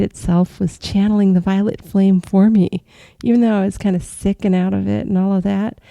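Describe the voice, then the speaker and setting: A woman speaks at a moderate pace with a medium pitch, fairly even intonation and a dark, mellow tone. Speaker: astral travel podcaster. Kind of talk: casual podcast monologue.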